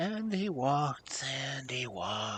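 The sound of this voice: The intonation moves in a lively way as the voice reads without forcing.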